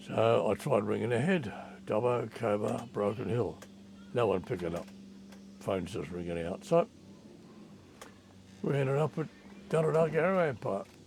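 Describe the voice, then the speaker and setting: A man speaks with a strong Australian accent at a medium pitch. His pitch swings very widely. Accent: broad Australian. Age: 80s+. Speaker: travel vlogger. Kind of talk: travel vlog narration.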